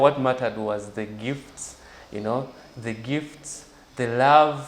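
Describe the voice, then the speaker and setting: A man with a medium pitch speaks at a fairly slow pace. There is noticeable background noise. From Uganda (Jinja, eastern Uganda). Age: 20s. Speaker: journalist and blogger. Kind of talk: interview.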